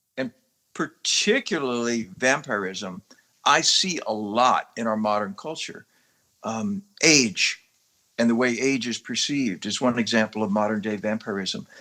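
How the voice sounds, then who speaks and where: The speech comes at a fairly slow pace with ordinary pitch variation. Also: man, medium pitch for a man. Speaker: actor. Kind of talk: interview. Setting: podcast interview. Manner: animated.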